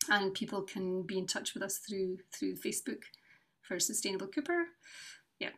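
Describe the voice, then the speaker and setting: Moderate pace in a Scottish accent, long, frequent pauses, and a very clean recording with a silent background. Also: woman, medium pitch for a woman, ordinary pitch variation. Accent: Scottish (Fife). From Scotland, North East Fife. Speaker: charity founder and brass teacher. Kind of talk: casual interview.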